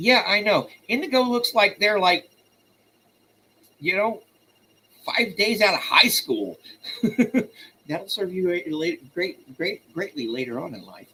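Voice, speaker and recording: A raised, projected male voice, high in pitch, with lively intonation and an American accent, at a fairly slow pace with long, frequent pauses and big swings in loudness. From US South. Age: 50s. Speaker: poetry livestream host. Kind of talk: live stream chat. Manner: casual.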